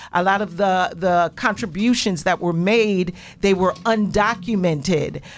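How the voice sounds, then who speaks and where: A woman speaks in a normal speaking voice, medium in pitch, at a fairly slow pace. Her intonation is fairly even and her loudness very even. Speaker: radio host. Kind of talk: casual chat. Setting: studio.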